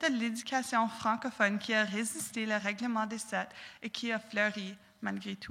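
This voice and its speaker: A woman at a fairly high pitch and a fairly slow pace. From southwestern Ontario, Canada. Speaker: university student speaker. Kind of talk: prepared talk. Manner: halting, with repetitions.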